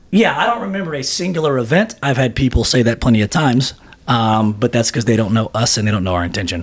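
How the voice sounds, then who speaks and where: Noticeable background noise sits behind a man's medium-pitched voice. He talks at a very fast pace with lively intonation. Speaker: mortgage lender. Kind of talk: podcast interview.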